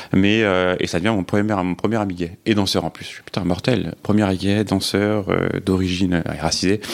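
At a moderate pace, a man with a very deep, low pitch talks with fairly even intonation. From France, Paris region (Cergy-Pontoise), Algerian Kabyle parents. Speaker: podcast guest. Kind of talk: personal testimony interview.

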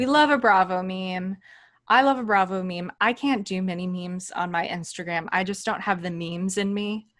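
A woman speaks at a moderate pace in a medium pitch with ordinary pitch variation, an ordinary speaking voice. The recording is very clean, with a silent background. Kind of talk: casual chat.

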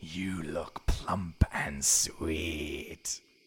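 A man growls in a put-on character voice, raspy and menacing. His pitch is very deep and low. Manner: predatory, menacing.

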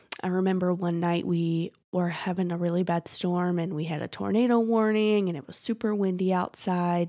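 Her voice is a fairly low-pitched woman's with a dark, mellow tone, moving at a moderate pace. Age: 30s. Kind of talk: casual faith monologue. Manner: hesitant, many fillers.

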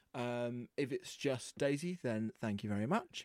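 At a moderate pace, a man with a plain, everyday voice speaks with lively intonation, with a dry, close sound and no echo, in a very clean recording with a silent background. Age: 20s. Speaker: podcast host. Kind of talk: casual chat.

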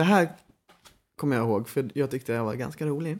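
The man has a plain, everyday voice at medium pitch, with ordinary pitch variation. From Stockholm, Sweden (Lidingö). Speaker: podcast co-host, actor. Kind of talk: casual chat.

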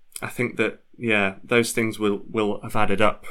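Flat, monotone intonation carries a bright, sharp tone in a Yorkshire accent. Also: man. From Leeds, northern England. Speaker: football fan. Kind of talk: casual chat.

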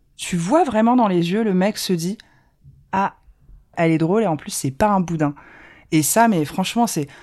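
On a very clean recording with a silent background, a woman with a dark, mellow voice at medium pitch talks at a moderate pace with ordinary pitch variation and long, frequent pauses. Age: 30s. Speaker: communications officer sharing dating story. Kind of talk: personal testimony. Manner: hesitant, many fillers.

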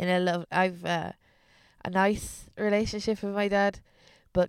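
On a very clean recording with a silent background, a woman speaks with an Irish Midlands accent and fairly even intonation. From Irish Midlands (Westmeath), Ireland. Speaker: comedian. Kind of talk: casual chat.

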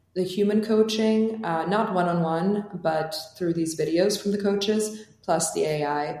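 Over noticeable background noise, a woman talks in fairly even intonation. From Albania (Tirana). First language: Albanian. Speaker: startup founder and CEO. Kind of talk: interview.

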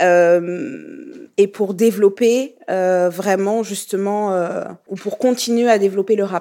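A woman with a dark, mellow tone and a medium pitch talks at a very slow pace. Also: ordinary pitch variation. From Burkina Faso. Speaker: music label founder. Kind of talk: interview.

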